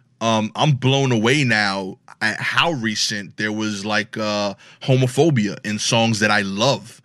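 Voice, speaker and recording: In a Brooklyn accent, a man talks at a fairly slow pace with fairly low pitch, a bright, sharp tone and ordinary pitch variation over a quiet background. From Brooklyn, New York. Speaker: comedian. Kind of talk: casual chat.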